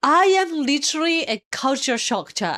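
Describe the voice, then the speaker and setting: In a Japanese accent, this voice moves at a moderate pace with very wide pitch swings. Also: woman. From Japan, Kyushu. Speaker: Japanese teacher and reaction streamer. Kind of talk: reaction commentary. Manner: animated; code-switching Japanese and English.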